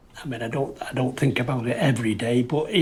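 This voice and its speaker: A man with an English accent at a fairly quick pace, ordinary pitch variation, and noticeable background noise. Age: 80s+. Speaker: war veteran. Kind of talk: testimony. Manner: halting.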